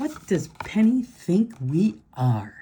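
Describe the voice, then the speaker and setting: In a put-on character voice, a man speaks at a high pitch. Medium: read story.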